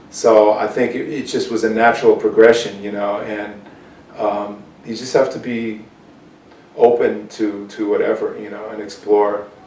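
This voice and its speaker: Amid noticeable background noise and audible room echo, a man with a fairly low pitch speaks in a monotone, flat intonation with big swings in loudness. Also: moderate pace. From US Northeast (Cambridge, Massachusetts). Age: 40s. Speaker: jazz guitarist. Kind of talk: interview. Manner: casual, hesitant with many fillers.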